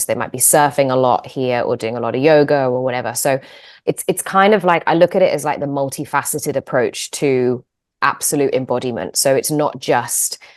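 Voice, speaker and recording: A woman talks with an English accent at a moderate pace. Her pitch is very deep and low, over a quiet background. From England. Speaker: yoga teacher and manual therapist. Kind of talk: interview. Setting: video call.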